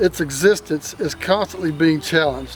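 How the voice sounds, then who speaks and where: Music plays behind a man with an American accent who speaks at a moderate pace in a fairly high pitch with ordinary pitch variation. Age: 60s. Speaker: bigfoot enthusiast YouTuber. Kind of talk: casual vlog, reading viewer comments.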